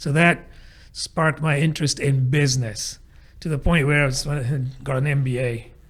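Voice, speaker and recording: A man's fairly high voice comes out somewhat breathy, with intonation kept fairly even. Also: moderate pace. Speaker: agile coach, podcast co-host. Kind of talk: interview about career. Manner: conversational.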